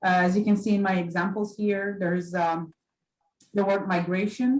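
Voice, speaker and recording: A woman speaks at a moderate pace in a somewhat breathy voice. Her intonation is fairly even. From Poland. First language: Polish. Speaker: librarian. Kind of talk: library orientation lecture. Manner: halting, many fillers.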